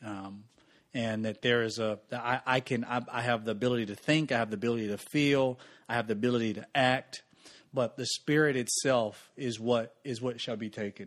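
Here a man talks at a fairly quick pace and a medium pitch, his intonation fairly even. It is an unremarkable speaking voice. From US South, Mississippi. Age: 30s. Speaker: pastor. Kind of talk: casual chat.

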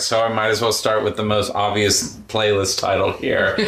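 A man speaks at a moderate pace with a fairly low pitch. There is audible room echo and noticeable background noise. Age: 20s. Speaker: musician. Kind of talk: casual chat.

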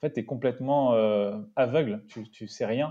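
This man's voice has a dark, mellow tone. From Paris suburbs, France. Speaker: startup co-founder. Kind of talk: interview. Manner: halting, many repetitions.

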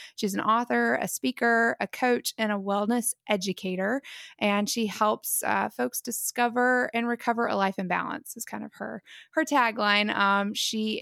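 In a very clean recording with a silent background and a dry, close sound with no echo, a woman with an ordinary speaking voice talks at a moderate pace and fairly high pitch, with ordinary pitch variation. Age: 30s. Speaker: podcast host. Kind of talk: casual interview chat.

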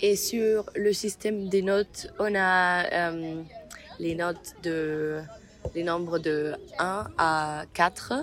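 A woman at a very slow pace, fairly low in pitch, with fairly even intonation. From Germany, Mainz. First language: German (speaking French). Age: 20s. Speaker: university student. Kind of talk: interview. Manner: halting.

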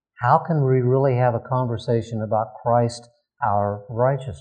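In a quiet background, a man speaks at a medium pitch with a dark, mellow tone that is somewhat breathy. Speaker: pastor. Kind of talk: sermon. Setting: stage with audience. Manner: halting.

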